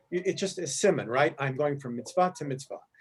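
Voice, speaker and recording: A man talks at a fairly quick pace. His voice is somewhat breathy, with ordinary pitch variation. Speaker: teacher leading a text study. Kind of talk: class discussion on rabbinic texts. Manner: halting, self-correcting; fast.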